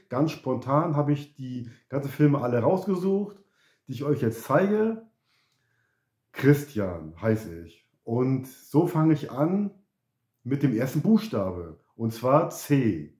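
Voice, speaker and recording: Big swings in loudness and very wide pitch swings mark this man's fairly high voice, which has a dark, mellow tone. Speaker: YouTuber. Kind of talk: casual vlog chat. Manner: halting, repeats words.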